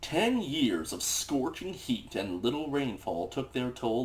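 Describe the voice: The speaker is doing plain reading aloud.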